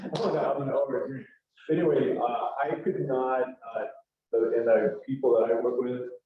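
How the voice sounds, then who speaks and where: Some room echo can be heard behind the man. His pitch varies in an ordinary way. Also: medium pitch for a man, moderate pace. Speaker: nonprofit executive director. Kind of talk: presentation. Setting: church hall with audience, streamed on Zoom. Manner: loud. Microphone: no microphone.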